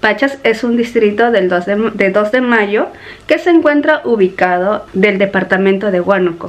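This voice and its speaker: At a fairly slow pace, a woman speaks with lively intonation. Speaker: vlogger. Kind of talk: casual vlog chat. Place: home room. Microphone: phone near.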